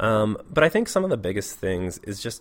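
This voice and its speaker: A man with a West Coast US accent, fairly low in pitch and moderate in pace. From US Pacific Northwest, Portland, Oregon. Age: 30s. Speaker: middle school teacher. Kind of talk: interview.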